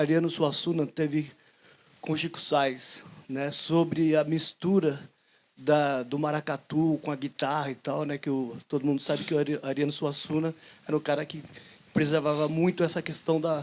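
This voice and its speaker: On a very clean recording with a silent background, a man talks with a fairly high pitch and a monotone, flat intonation. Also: moderate pace. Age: 60s. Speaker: audience member, percussion teacher. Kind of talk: public Q&A question. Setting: outdoor bandstand with audience. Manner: halting.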